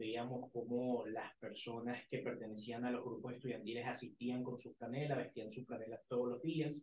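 Audible room echo surrounds a man whose somewhat breathy voice keeps a moderate pace. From Venezuela. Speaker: university student leader; guest. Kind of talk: casual interview.

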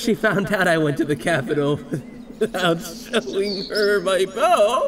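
High pitch from a man at a fairly slow pace, very even loudness, with clear background noise. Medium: fan dub. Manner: sarcastic, whiny, braggy.

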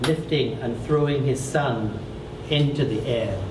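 Very slowly, a man speaks with ordinary pitch variation as noticeable noise carries on behind him. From Trinidad and Tobago. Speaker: poet and novelist; poet. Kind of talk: poetry reading. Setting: bookstore event with audience. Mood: calm, reflective. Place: shop.

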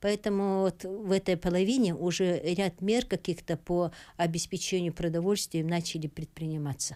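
Over a quiet background, a woman with a dark, mellow tone speaks at a moderate pace with ordinary pitch variation. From Sakha Republic, Russia. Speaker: guest. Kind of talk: interview answer. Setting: live studio. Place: studio. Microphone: studio mic.

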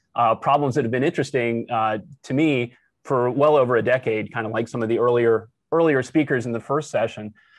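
A man speaks at a fairly quick pace with fairly even intonation, in a dry sound with no echo against a quiet background. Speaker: professor giving workshop talk. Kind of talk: lecture.

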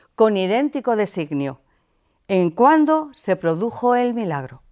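A woman speaks at a fairly high pitch with very wide pitch swings. The recording is very clean, with a silent background. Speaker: theatre group actor reading a speech as a Three Kings character. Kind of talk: scripted reading of a festive proclamation, in character. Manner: formal, solemn, measured.

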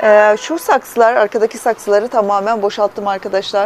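The woman talks at a fairly quick pace. Her sound is dry with no echo, with light background noise behind it. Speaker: plant hobbyist vlogger. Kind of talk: casual vlog chat. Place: home room. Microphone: phone near.

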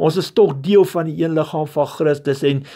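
In a very clean recording with a silent background, a man with a dark, mellow tone speaks at a fairly high pitch with ordinary pitch variation. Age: 40s. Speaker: lay preacher, former truck driver. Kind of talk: sermon. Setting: recorded voice note.

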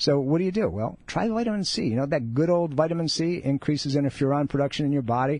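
A man's fairly high voice at a very fast pace, with lively intonation, an upbeat tone and hardly any pauses. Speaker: radio host and chiropractor. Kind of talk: live radio talk show patter with promos and caller advice. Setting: radio studio. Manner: conversational, upbeat, persuasive, pitching the show and charity between segments.

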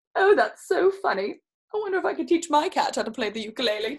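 The words come at a fast pace with big pitch swings. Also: woman, high pitch for a woman.

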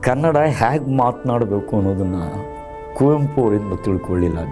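Clear music sounds in the background. Over it, a man speaks with lively intonation. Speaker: voice artist and anchor. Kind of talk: interview answer. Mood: warm, proud, at times laughing. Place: studio. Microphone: lapel.

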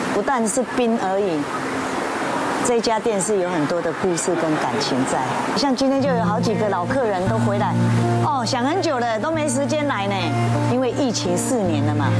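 A woman speaks with long, frequent pauses. Loud music plays in the background. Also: moderate pace. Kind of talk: interview answer. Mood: proud, sentimental. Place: shop. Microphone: lapel.

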